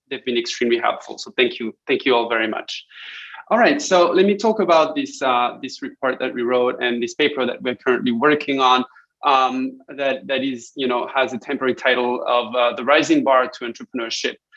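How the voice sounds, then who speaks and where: A man talks fairly quickly, and his pitch varies in an ordinary way. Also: medium pitch for a man. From France. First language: French. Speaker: academic researcher presenting a paper. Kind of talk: conference presentation. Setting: online conference. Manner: hesitant, many fillers and repetitions.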